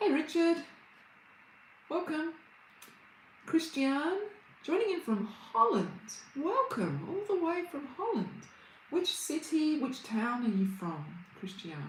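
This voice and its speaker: A woman with an Australian accent speaks very slowly at a high pitch, with a warm tone, very wide pitch swings and long, frequent pauses. The room echo is audible and there is noticeable background noise. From Australia, Brisbane. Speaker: reiki healer and meditation teacher. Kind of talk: livestream chat with viewers. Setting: livestream. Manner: warm, welcoming.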